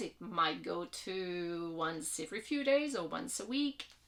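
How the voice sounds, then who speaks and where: Medium-pitched female voice with a French Canadian accent and lively intonation. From Quebec. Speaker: vlogger, hiker. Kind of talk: casual vlog introduction. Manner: hesitant, many fillers.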